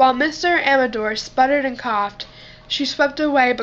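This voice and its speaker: A woman with a high voice and ordinary pitch variation speaks while noticeable background noise runs underneath. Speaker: amateur audiobook reader. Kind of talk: read-aloud novel chapter.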